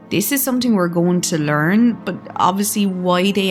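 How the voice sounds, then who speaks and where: Music plays behind this voice. The intonation is lively while the pace stays fairly slow. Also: woman. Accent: Irish. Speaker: gaming commentator. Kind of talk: casual gameplay commentary. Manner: soft-spoken, calm.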